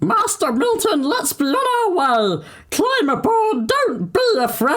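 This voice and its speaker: A man puts on a loud character voice at an extremely high, shrill pitch. His pitch swings very widely as he talks at a fairly slow pace. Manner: bellowing, eager.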